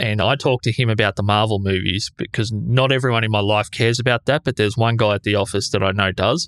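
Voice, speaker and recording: A man with a fairly low pitch and ordinary pitch variation is heard in a dry, close sound with no echo. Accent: Australian. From Australia. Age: 30s. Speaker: podcaster. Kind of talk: casual chat. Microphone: echoey room.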